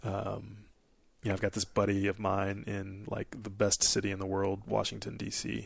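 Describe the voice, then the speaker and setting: A man with an American accent speaks in a fairly low pitch with vocal fry. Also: fairly even intonation, moderate pace. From Nebraska. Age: 30s. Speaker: Air Force officer and military instructor. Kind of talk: casual chat.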